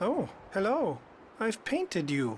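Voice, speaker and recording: A put-on character voice sits at a middle pitch. Clear background noise is present. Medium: video game. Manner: soft, dreamy.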